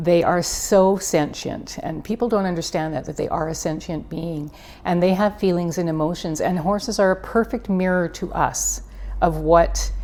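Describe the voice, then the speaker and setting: With a western Canadian accent, a woman speaks in a fairly low pitch with ordinary pitch variation over noticeable background noise. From Canada, Prince George area, British Columbia. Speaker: equine therapist. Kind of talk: interview. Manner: animated.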